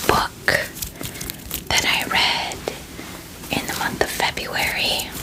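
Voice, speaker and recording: Noticeable background noise surrounds a woman whispering at a very slow pace. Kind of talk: ASMR book wrap-up. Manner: whispered.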